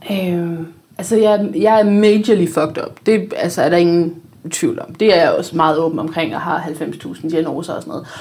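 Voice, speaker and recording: A woman's fairly low voice at a moderate pace, with ordinary pitch variation, big swings in loudness and audible room echo. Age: 30s. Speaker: blogger. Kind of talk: casual chat.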